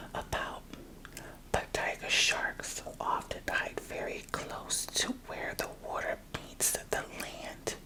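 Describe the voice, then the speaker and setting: The speaker whispers at a very slow pace. There is noticeable background noise throughout. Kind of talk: ASMR book reading, children's nonfiction. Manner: soft-spoken, whispery.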